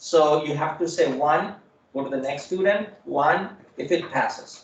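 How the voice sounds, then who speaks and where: The room echo is audible. A man talks with ordinary pitch variation. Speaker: programming instructor. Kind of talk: lecture.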